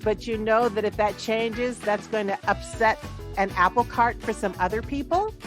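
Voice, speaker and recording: A woman talks with a fairly high pitch and ordinary pitch variation at a moderate pace while music plays in the background. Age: 70s. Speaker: actress. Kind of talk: interview answer.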